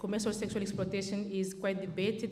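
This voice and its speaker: Noticeable background noise and audible room echo. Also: woman. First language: French. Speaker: charity worker, keynote speaker. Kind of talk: conference speech. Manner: halting, many fillers.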